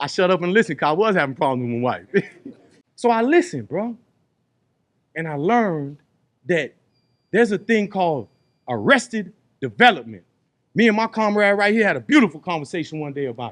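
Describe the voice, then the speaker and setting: In an animated tone, a man with a high pitch speaks at a very fast pace, his pitch swinging very widely between long, frequent pauses. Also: big swings in loudness. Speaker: re-entry program facilitator, formerly incarcerated. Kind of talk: group workshop talk. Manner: animated, conversational; loud.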